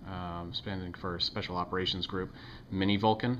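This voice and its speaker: This man has a very deep, low pitch. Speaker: knife reviewer. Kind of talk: product review. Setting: home video recording. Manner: fast; halting, many fillers.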